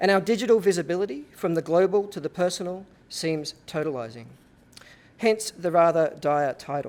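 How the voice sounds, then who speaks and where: With an Australian accent, a man speaks at a high pitch and a moderate pace with ordinary pitch variation. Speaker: architecture professor. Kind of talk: lecture. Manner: formal.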